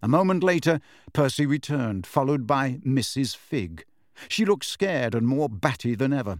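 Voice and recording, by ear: Lively intonation from someone reading aloud in a natural voice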